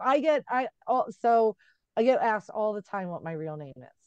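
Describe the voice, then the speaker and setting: Her voice swings through a very wide pitch range at a moderate pace, animated in tone, with a dry, close sound and no echo. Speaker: author. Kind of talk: casual chat.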